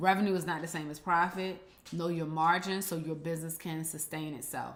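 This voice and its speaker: A woman with a fairly low pitch talks at a fairly quick pace in a monotone, flat intonation, and the room echo is audible. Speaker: business strategy consultant. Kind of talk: live stream teaching. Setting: live stream on Instagram. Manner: fast.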